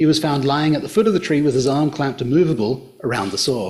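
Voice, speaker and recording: There is audible room echo as a man talks in a somewhat breathy voice at a fairly high pitch. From Australia. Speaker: archaeologist and social historian. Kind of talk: public lecture. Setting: hotel function room with audience.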